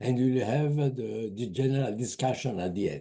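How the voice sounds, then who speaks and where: This man talks at a fairly quick pace with ordinary pitch variation. His tone is dark and mellow. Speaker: webinar moderator. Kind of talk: formal introduction. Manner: halting.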